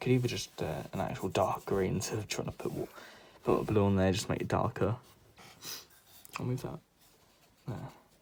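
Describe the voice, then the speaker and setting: Soft-spoken and fairly low-pitched, a man talks at a fairly quick pace with vocal fry, ordinary pitch variation and long, frequent pauses. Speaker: art content creator. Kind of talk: drawing tutorial commentary. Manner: calm.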